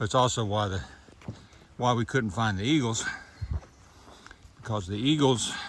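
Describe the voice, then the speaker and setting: Delivered at a moderate pace with long, frequent pauses, this American-accented voice shows ordinary pitch variation over noticeable background noise and audible room echo. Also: man, medium pitch for a man. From North Carolina. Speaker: hiking vlogger. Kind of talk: casual vlog narration. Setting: outdoors on trail.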